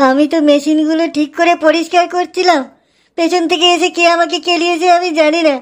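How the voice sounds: A cartoonish character voice at an extremely high pitch, moderate pace and monotone, flat intonation.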